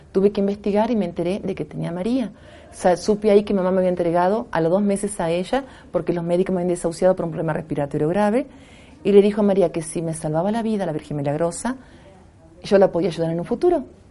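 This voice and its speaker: A woman speaks at a very fast pace with a medium pitch. Her tone is dark and mellow, with ordinary pitch variation. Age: 50s. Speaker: spiritual sound healer. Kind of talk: interview.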